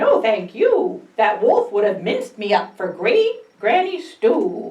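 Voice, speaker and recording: Putting on a character voice, a woman speaks at a fairly slow pace in a high pitch. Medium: read story. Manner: feisty, spirited.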